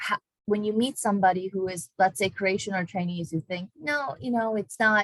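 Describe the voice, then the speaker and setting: A woman with a non-native accent speaks at a medium pitch and moderate pace, somewhat breathy. Her intonation is lively, and the sound is dry and close with no echo. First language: not English. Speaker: university diversity education staff, moderator. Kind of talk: moderated online panel discussion.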